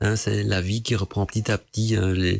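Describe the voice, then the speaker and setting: This man speaks at a fairly low pitch in a monotone, flat intonation. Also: very clean recording, silent background. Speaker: radio host. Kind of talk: casual radio talk on esoteric topics. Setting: home studio.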